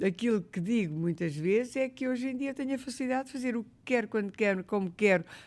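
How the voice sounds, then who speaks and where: A woman with a European Portuguese accent speaks at a fairly high pitch with lively intonation. The recording is very clean, with a silent background. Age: 70s. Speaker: retired corporate executive and volunteer. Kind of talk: podcast interview. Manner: animated.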